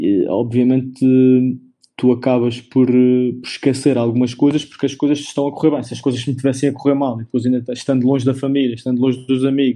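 His tone dark and mellow, a man talks at a fairly quick pace in a monotone, flat intonation. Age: 30s. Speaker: professional basketball player. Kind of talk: interview.

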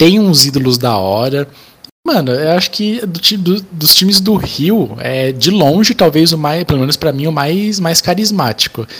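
A man's fairly high pitch moves in very wide swings as he speaks at a moderate pace. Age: 20s. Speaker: football podcast co-host. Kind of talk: casual chat.

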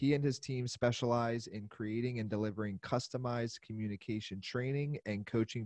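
A man with a Pennsylvania accent and a medium pitch speaks at a moderate pace with hardly any pauses and fairly even intonation, over a quiet background. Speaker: podcast host. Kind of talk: show intro; interview.

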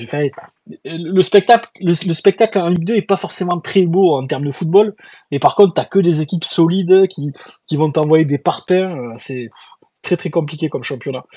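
A man speaks at a moderate pace with a high pitch, ordinary pitch variation and a dark, mellow tone, recorded dry and close with no echo. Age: 30s. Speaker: podcast host. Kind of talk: casual chat. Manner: animated.

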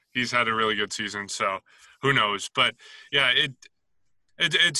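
Speaking in a fairly low pitch, a man with a Canadian accent has a bright, sharp tone. The sound is dry and close with no echo, against a quiet background. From Canada. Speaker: league scheduler. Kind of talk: interview.

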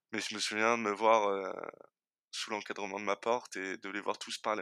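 On a very clean recording with a silent background, a man's bright, sharp voice, fairly low in pitch, comes through in monotone, flat intonation with a dry, close sound and no echo. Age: 20s. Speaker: logistics worker and design student sharing his experience of hypersensitivity. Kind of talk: personal testimony. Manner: halting, many repetitions.

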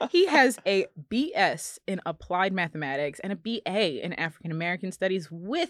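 Speaking fairly quickly with lively intonation, a woman uses a plain, everyday voice at a medium pitch, with a dry, close sound with no echo. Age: 30s. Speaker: podcast host. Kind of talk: casual chat.

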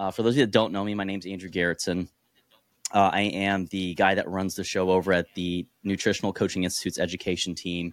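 Very deep and low, a man with an American accent speaks at a very fast pace in a flat monotone, recorded dry and close with no echo and very cleanly against a silent background. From born in Korea, raised in the US. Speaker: nutrition educator and coach. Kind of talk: casual interview.

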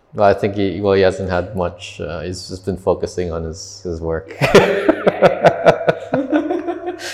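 A man speaks at a very slow pace with big swings in loudness over noticeable background noise. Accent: Canadian. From Canada. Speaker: podcast host, travel vlogger. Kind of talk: casual chat. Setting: in person, coworking space. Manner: halting.

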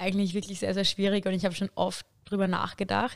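At a fairly quick pace, a woman with a normal speaking voice talks at a medium pitch. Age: 20s. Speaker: student teacher. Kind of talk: casual chat.

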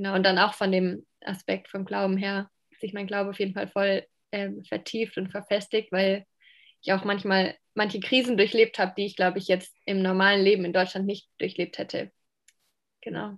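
Against a silent background in a very clean recording, a woman at medium pitch speaks at a moderate pace with monotone, flat intonation. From Germany, Palatinate (Pfalz). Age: 20s. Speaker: social work student. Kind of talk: interview.

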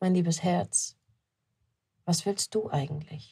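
In a very clean recording with a silent background and a dry, close sound with no echo, a woman speaks at a fairly slow pace at medium pitch, somewhat breathy, with a dark, mellow tone. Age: 30s. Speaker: business coach and podcast host. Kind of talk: solo motivational monologue. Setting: shop-front office with building work outside. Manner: casual, unscripted with frequent fillers.

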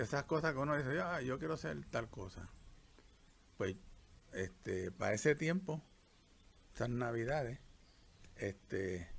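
A somewhat breathy man's voice with very wide pitch swings and long, frequent pauses. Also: medium pitch for a man. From Puerto Rico. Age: 70s. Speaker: retired doctor. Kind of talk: life story interview. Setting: countryside during rain.

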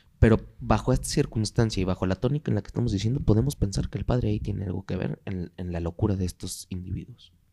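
With vocal fry and a dark, mellow tone, a man talks at a very fast pace with hardly any pauses, his fairly low pitch carrying lively intonation in a dry, close sound with no echo. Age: 20s. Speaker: podcast host. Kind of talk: casual chat.

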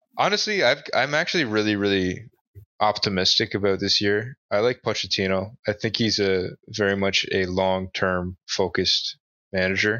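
A man talks at a moderate pace with fairly even intonation and a fairly low pitch. It is an ordinary speaking voice. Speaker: podcast host. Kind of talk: casual chat.

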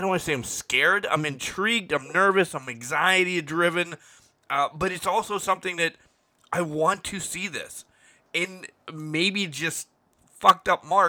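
At a moderate pace, a man speaks in a high pitch with a bright, sharp tone. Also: ordinary pitch variation, very clean recording, silent background. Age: 40s. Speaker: paranormal podcast co-host. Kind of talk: casual chat.

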